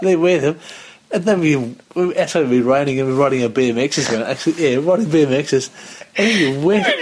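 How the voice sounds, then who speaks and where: A man talks at a fairly quick pace and a fairly high pitch, his loudness very even. Noticeable background noise runs underneath. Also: ordinary pitch variation. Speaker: podcast co-host. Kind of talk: casual chat.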